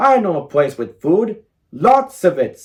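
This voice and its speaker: A man puts on a character voice with a high pitch. He moves at a fairly slow pace with very wide pitch swings. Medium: read story.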